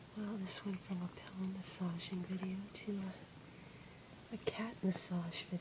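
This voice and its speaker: Against noticeable background noise, a woman speaks at a moderate pace in a flat monotone, with long, frequent pauses. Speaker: ASMR creator. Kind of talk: ASMR relaxation video. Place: home room.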